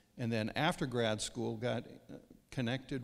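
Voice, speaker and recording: Speaking with an American accent and vocal fry, a man talks at medium pitch. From US Upper Midwest (central Minnesota). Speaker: counselor and former pastor. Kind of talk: church interview conversation.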